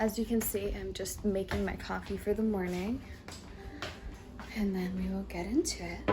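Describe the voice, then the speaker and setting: Soft-spoken, a woman talks at a moderate pace with long, frequent pauses. There is noticeable background noise. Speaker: homemaker vlogger. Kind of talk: casual vlog chat. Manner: quiet, talking softly.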